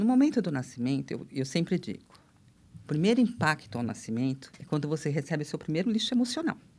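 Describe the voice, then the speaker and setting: Very deep and low in pitch, a woman speaks at a very fast pace with very wide pitch swings. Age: 60s. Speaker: therapist. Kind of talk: casual chat.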